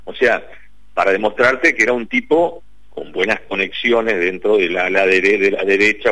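Big swings in loudness run through a man's normal speaking voice. He is fairly low in pitch and goes at a fairly quick pace. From Paraná, Entre Ríos, Argentina. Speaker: investigative journalist. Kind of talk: radio interview.

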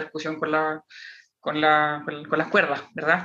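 A man's fairly high voice with a bright, sharp tone. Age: 20s. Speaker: metal drummer. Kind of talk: casual interview.

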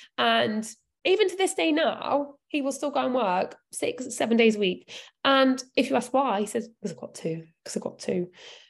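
A woman's high voice with very wide pitch swings. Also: moderate pace. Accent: British. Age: 30s. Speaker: nutrition coach. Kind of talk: live Q&A talk.

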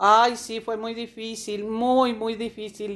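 At a very slow pace, a woman speaks in a fairly high, monotone, flat voice. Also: very clean recording, silent background. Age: old. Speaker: cancer survivor. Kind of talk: testimony. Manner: halting.

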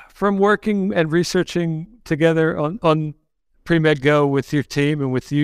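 Speaking fairly slowly at a fairly high pitch, a man with an unremarkable speaking voice shows ordinary pitch variation in a very clean recording with a silent background. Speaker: podcast host. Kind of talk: interview conversation.

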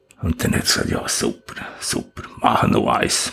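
A man talks at a very slow pace. Noticeable noise sits in the background. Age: 70s. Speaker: retired-age civil engineer, mountaineer. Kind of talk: interview. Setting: site office.

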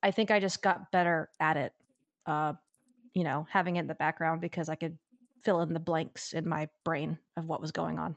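In a dry, close recording with no echo and a quiet background, a woman with a fairly low pitch and fairly even intonation uses an ordinary speaking voice. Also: moderate pace. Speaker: language learner. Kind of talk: casual chat.

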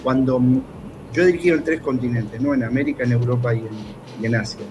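Fairly quick speech from a man, ordinary in pitch variation, over noticeable background noise. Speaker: basketball coach. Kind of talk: sports analysis talk show.

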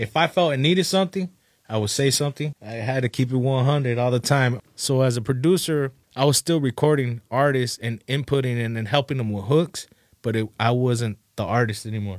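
With an American accent, a man uses a normal speaking voice at medium pitch and a fairly quick pace, with ordinary pitch variation, in a dry, close sound with no echo. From Oxnard, California. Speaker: rapper. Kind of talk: casual interview.

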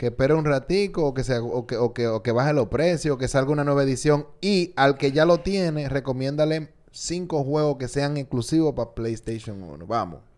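An animated man with a Dominican accent talks in a fairly high voice, hardly pausing at all. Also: ordinary pitch variation, moderate pace. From Dominican Republic, Santo Domingo. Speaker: podcast host. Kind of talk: casual chat.

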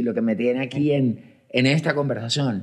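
This man's voice sits at a medium pitch with ordinary pitch variation. He keeps a moderate pace. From Colombia. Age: 40s. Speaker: podcast host. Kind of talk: casual chat. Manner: halting, with frequent repetitions and fillers.

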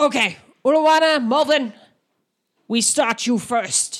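At a fairly slow pace, a woman uses a high-pitched, put-on character voice. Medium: actual play. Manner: broken clipped grammar, curt.

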